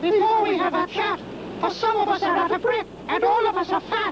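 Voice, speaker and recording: Over loud background noise, a man does a squeaky put-on character voice at an extremely high pitch and a fairly quick pace. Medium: solo performance.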